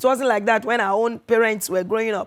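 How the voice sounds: With ordinary pitch variation, a woman speaks at a fairly high pitch.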